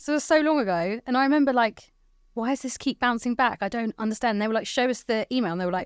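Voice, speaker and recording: In a southern English accent, a woman talks very fast at a high pitch with ordinary pitch variation, the sound dry and close with no echo on a very clean recording with a silent background. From England, Hertfordshire (Watford). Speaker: IT channel executive. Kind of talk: podcast interview. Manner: loud.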